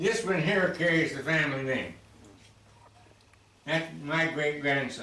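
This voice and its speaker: A man with a fairly high pitch and ordinary pitch variation keeps a very even loudness, leaving long, frequent pauses amid audible room echo and noticeable background noise. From US Pacific Northwest, Oregon. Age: 90s. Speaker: local historian. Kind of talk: interview. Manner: halting.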